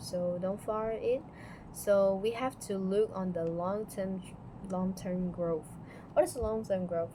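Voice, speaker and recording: A woman with a non-native accent, medium pitch, a dark, mellow, somewhat breathy tone, fairly even intonation and a very slow pace. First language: not English. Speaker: student. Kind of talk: class presentation. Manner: halting.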